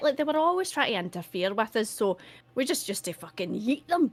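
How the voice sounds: A woman speaks at a fairly quick pace. Her pitch is fairly high and moves in big swings.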